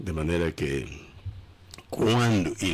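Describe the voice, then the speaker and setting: Very deep, low, somewhat breathy voice of a man with ordinary pitch variation. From Angola. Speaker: pastor. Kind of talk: interview. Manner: halting.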